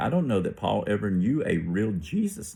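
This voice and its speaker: Over a silent background in a very clean recording, a man with an American accent speaks fairly quickly in a very deep, low voice that is somewhat breathy and has lively intonation. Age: 60s. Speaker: religious vlogger. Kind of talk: casual monologue. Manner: halting.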